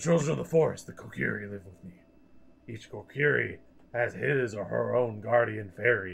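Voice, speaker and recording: A raspy, put-on character voice delivers its lines in a solemn tone at a moderate pace. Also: man, fairly low pitch for a man. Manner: solemn, old-fashioned speech.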